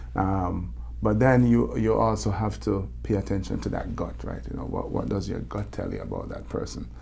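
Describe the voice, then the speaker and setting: A man with a Jamaican accent speaks at a very deep, low pitch, with very wide pitch swings and hardly any pauses. Noticeable background noise and audible room echo come through. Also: moderate pace. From Jamaica, Kingston. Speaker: motivational speaker, former Olympic bobsledder. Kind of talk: interview. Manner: halting, many repetitions and fillers.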